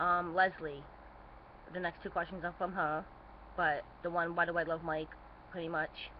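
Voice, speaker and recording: This woman's fairly low voice stays monotone, with flat intonation throughout. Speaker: vlogger answering viewer questions. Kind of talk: casual Q&A vlog. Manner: fast; hesitant, many fillers.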